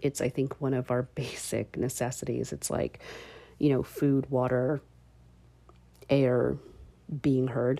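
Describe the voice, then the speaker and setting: A woman's very deep, low, dark and mellow voice with vocal fry, monotone, flat intonation and long, frequent pauses. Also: fairly slow pace. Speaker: podcast host. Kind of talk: solo podcast monologue, casual. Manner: laughs often, conversational, with filler words.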